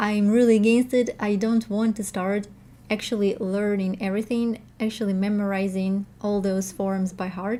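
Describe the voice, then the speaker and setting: In a Russian accent, a woman speaks with a dark, mellow tone and monotone, flat intonation. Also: medium pitch for a woman, moderate pace, very clean recording, silent background. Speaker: language teacher and learner vlogger. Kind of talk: casual vlog update. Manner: halting, many fillers and restarts.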